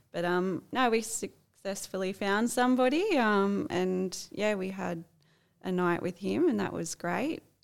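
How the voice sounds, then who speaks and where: Lively intonation from a woman with an Australian accent, fairly slow pace, very clean recording and silent background. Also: medium pitch for a woman. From Australia, Sydney area. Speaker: swinger couple guest. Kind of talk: casual chat.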